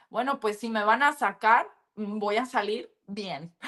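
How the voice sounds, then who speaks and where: The woman's tone is bright and sharp, her pitch fairly high. Her pitch variation is ordinary, and the background is quiet. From US, California (Los Angeles area). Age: 30s. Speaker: businesswoman, former reality show contestant. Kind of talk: interview. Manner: animated.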